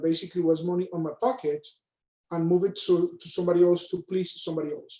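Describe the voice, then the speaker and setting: A man talks at a fairly quick pace in a high voice with a dark, mellow tone. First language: Spanish. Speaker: panelist, banker. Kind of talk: panel discussion, personal story. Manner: hesitant, many fillers.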